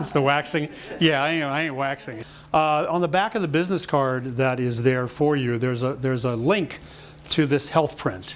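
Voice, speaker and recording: This is a normal speaking voice at a moderate pace with ordinary pitch variation. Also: man, fairly high pitch for a man. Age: 60s. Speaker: health and wellness speaker. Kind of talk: talk to a live audience.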